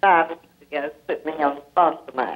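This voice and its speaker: A woman with an American accent speaks at a fairly slow pace in a very deep, low pitch with monotone, flat intonation. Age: 80s+. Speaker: caller. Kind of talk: call-in question. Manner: halting.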